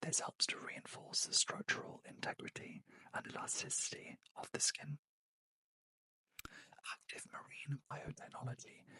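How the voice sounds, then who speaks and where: A man whispers with a British accent at a fairly slow pace. He leaves long, frequent pauses, and the sound is dry and close with no echo. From United Kingdom. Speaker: beauty reviewer and trained beauty therapist. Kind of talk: ASMR unboxing and product review. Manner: whispered, soft-spoken.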